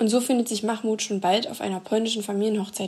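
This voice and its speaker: A woman speaks at a fairly quick pace with a medium pitch. Her voice is somewhat breathy, and her intonation is fairly even. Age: 20s. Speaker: book blogger. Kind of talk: prerecorded scripted book presentation.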